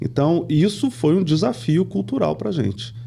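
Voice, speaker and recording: Using very wide pitch swings, a man of medium pitch speaks at a fairly slow pace. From Brazil, moved often (São Paulo, Pernambuco, Rio de Janeiro). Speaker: company CEO. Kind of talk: podcast interview. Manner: conversational, many fillers.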